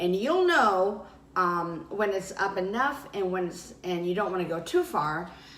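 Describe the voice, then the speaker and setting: Medium pitch from a woman, plus audible room echo and noticeable background noise. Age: 60s. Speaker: weight loss vlogger. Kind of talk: casual vlog talk.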